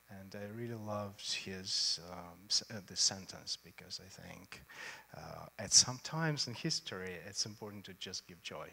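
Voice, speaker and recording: A man with a Russian accent speaks at a moderate pace in a bright, sharp tone, with big swings in loudness. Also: fairly low pitch for a man, ordinary pitch variation. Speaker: choreographer. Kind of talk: on-stage interview. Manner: halting.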